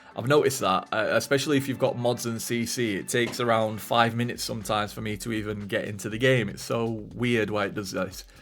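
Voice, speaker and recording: Over music in the background, a man talks at a very fast pace with hardly any pauses, using a medium pitch and fairly even intonation. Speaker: Sims speed-build YouTuber. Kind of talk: voice-over narration of a game build video. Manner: casual, with frequent fillers.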